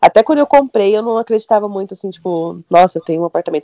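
A woman's medium-pitched, dark, mellow voice in a dry, close sound with no echo. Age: 30s. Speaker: communications graduate, career changer. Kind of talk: casual chat.

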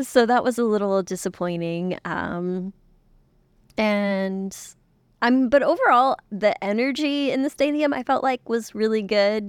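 Recorded very cleanly against a silent background, a woman with an ordinary speaking voice talks with lively intonation in a dry, close sound with no echo. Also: fairly high pitch for a woman. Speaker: podcast co-host. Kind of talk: casual chat.

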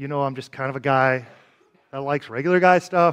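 This man's voice sits fairly high, with ordinary pitch variation and an animated tone. He talks at a fairly quick pace. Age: 40s. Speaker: pastor. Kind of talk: sermon.

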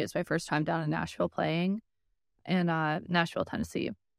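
With an American accent, the speaker has an unremarkable speaking voice and fairly even intonation at a fairly quick pace. The recording is very clean, with a silent background and a dry, close sound with no echo. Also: woman. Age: 30s. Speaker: speedsoft airsoft player. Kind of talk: casual chat.

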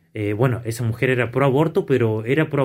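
A man's somewhat breathy voice at a fairly quick pace, in a very clean recording with a silent background. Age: 30s. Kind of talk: casual discussion.

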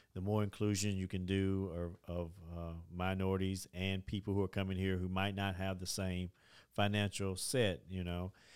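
A man's very deep, low voice at a moderate pace, monotone and flat in intonation, on a very clean recording with a silent background. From Tennessee, Dickson County. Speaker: community organization leader. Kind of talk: interview. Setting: studio.

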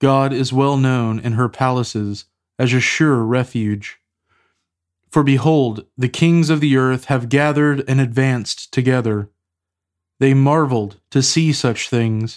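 Fairly slow and very even in loudness, a normal speaking voice comes through with fairly even intonation. The background is quiet. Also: man, medium pitch for a man. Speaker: podcast host leading liturgical prayer. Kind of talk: liturgical prayer and scripture reading. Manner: formal.

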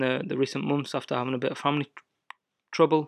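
Against a quiet background, a man speaks at a medium pitch in an English accent. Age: 20s. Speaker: lawn care business owner. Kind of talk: solo podcast monologue. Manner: casual, animated.

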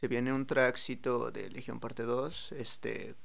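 In a room with audible echo, a man with a Mexican accent talks at a fairly slow pace in a flat monotone at medium pitch. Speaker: freestyle rapper. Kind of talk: casual chat.

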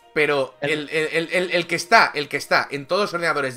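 Over music in the background, a man with a fairly high pitch speaks at a fairly quick pace in an animated tone with ordinary pitch variation. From Catalonia. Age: 30s. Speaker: gaming streamer. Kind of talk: casual chat.

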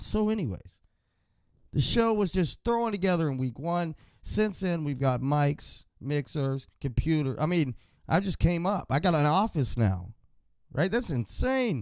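The tone is animated, with very wide swings in pitch. The recording is very clean, with a silent background. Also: man, fairly high pitch for a man, fairly slow pace. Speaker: sports podcast host. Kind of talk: casual solo podcast monologue. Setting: home studio.

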